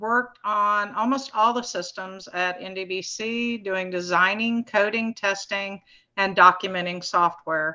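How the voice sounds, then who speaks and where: Against a quiet background, a woman speaks fairly slowly in a bright, sharp tone with fairly even intonation. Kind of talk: presentation talk. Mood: a little nervous. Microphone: video call.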